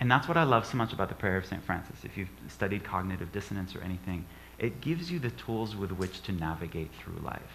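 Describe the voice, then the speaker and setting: A man's fairly low voice with lively intonation at a very fast pace, with audible room echo. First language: not English. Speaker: guest speaker, author. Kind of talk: inspirational talk in church. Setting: church service with audience.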